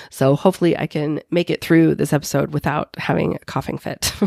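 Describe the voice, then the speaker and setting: A woman talks with vocal fry. The sound is dry and close, with no echo. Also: very clean recording, silent background. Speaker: podcast host, life coach. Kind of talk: podcast monologue.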